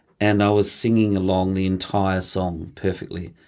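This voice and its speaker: A man's very deep, low voice in a flat monotone, with an Australian accent, on a very clean recording with a silent background. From regional Victoria, Australia (Mildura). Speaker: choreographer and dancer. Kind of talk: interview.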